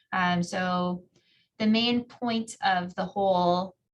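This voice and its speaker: A woman's somewhat breathy voice at medium pitch, with a Minnesotan accent and fairly even intonation. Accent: Minnesota. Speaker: geography professor. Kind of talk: interview answers.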